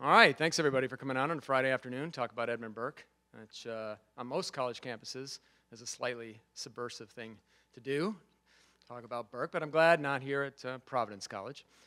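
A man speaks very fast in a bright, sharp tone with ordinary pitch variation against a quiet background. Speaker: guest lecturer. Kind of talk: lecture. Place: classroom. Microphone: podium.

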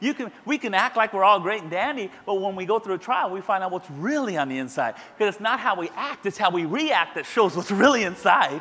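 A man talks at a very fast pace in a raised, projected voice. His pitch swings very widely. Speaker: pastor. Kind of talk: sermon. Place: church. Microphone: headset.

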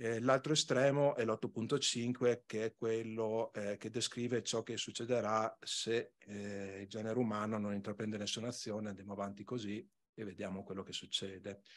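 Fairly even intonation marks this man's delivery, which moves at a moderate speed. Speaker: regional environment department official; conference presenter. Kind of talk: conference talk. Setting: conference hall with microphone. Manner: soft-spoken; hesitant, many fillers. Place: hall. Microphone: podium.

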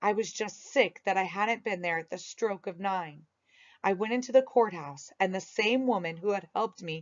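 A natural reading voice comes through against a quiet background.

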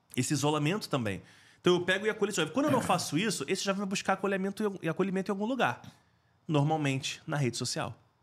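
In a very clean recording with a silent background, a man with a high pitch speaks very fast with lively intonation. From Rio de Janeiro, Brazil. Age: 40s. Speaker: school safety specialist, former firefighter. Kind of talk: interview.

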